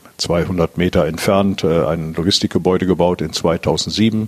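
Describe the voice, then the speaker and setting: The man's voice is very deep and low, and his intonation is fairly even. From northwest Germany, around Diepholz (Lower Saxony). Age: 60s. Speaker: business owner. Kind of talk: interview. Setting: at his company premises. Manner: halting, many fillers.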